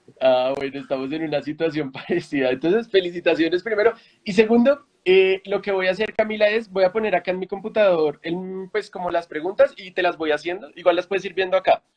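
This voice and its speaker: A man's high-pitched voice at a fairly quick pace, with ordinary pitch variation and a dry, close sound free of echo. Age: 20s. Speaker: founder of a news literacy platform. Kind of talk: interview conversation.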